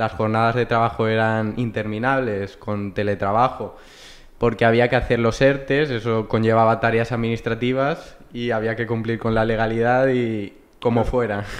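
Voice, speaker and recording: A man talks at a medium pitch and a moderate pace. His intonation is monotone and flat. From Valencia region, Spain. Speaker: human resources graduate; podcast guest. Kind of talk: casual interview. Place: meeting room. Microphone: studio mic.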